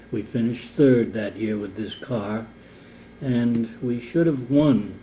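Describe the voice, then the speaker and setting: At a very slow pace, the voice is somewhat breathy with a dark, mellow tone and ordinary pitch variation. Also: man. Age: 80s+. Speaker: retired race car driver; war veteran. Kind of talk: interview answer.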